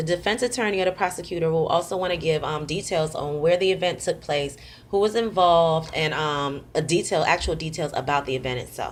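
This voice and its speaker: The recording is very clean, with a silent background. A woman speaks at a fairly low pitch with ordinary pitch variation. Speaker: student. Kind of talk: class presentation. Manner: fast.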